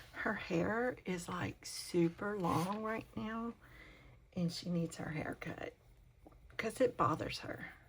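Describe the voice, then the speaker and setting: A woman whispers at a very slow pace over noticeable background noise. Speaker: crafting channel host. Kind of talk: casual craft tutorial talk. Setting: home, talking to camera. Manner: whispering; hesitant, with many fillers.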